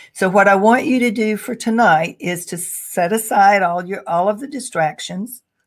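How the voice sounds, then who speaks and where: A woman with an ordinary speaking voice talks at a moderate pace with hardly any pauses, using a medium pitch and ordinary pitch variation. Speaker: career coach. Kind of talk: webinar presentation. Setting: online webinar.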